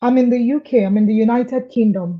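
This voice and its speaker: A woman with a dark, mellow tone and a somewhat breathy quality talks at a moderate speed, her pitch fairly high and its variation ordinary. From Nigeria, Lagos. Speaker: client giving testimonial. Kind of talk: interview. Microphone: too quiet at first.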